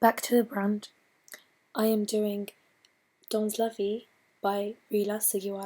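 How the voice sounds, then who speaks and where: A woman's fairly high voice, dark and mellow in tone, monotone and flat, at a fairly slow pace with long, frequent pauses. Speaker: student presenter. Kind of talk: student presentation. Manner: not projecting.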